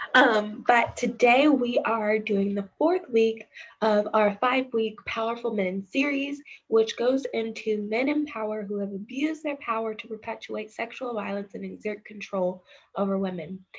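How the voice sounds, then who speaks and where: Somewhat breathy delivery at a moderate pace. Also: woman, fairly high pitch for a woman, ordinary pitch variation. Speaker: community outreach educator. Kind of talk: educational talk.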